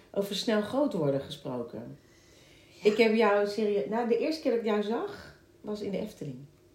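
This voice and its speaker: The voice moves at a moderate pace with very wide pitch swings, amid noticeable background noise and audible room echo. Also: woman, medium pitch for a woman. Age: 40s. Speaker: musical theatre actress and podcast host. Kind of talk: casual chat. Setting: at the guest's home.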